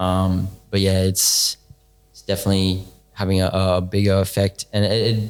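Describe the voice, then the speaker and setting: With a very deep, low pitch and an Australian accent, a man speaks at a moderate pace in a monotone, flat intonation. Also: big swings in loudness. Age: 20s. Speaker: podcast guest. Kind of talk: casual chat.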